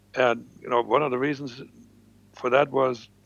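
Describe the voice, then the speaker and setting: A man with a German accent speaks at a fairly quick pace, his medium pitch held in fairly even intonation. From East Germany. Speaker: former spy. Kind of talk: interview storytelling.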